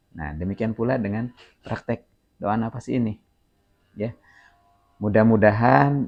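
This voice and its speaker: A man's fairly low voice with a Sundanese accent and ordinary pitch variation. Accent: Sundanese-accented Indonesian. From Sundanese, West Java, Indonesia. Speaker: spiritual teacher. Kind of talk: spiritual instruction. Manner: slow, deliberate.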